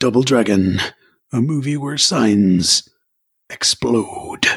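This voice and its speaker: Someone uses a put-on character voice. The pace is very slow. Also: man, medium pitch for a man. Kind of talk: trailer narration. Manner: dramatic.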